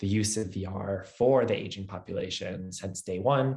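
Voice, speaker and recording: The man's pitch is fairly low. His voice comes across somewhat breathy. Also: quiet background. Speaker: tech startup founder and CEO. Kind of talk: webinar presentation. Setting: video webinar. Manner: fast.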